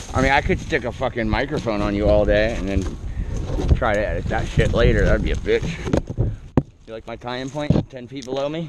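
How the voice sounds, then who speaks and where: Loud background noise sits behind a man speaking at a moderate pace. The sound is dry, without echo. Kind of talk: casual work talk and explanation. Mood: joking, relaxed. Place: open country. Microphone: helmet.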